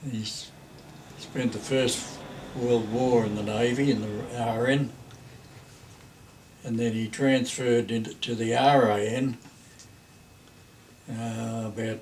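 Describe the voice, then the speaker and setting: Someone with an Australian accent speaks at a very slow pace, in a flat monotone, with long, frequent pauses. Audible room echo and noticeable background noise fill the recording. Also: man, medium pitch for a man. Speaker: grandparent telling family history. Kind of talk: oral history reminiscence. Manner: halting.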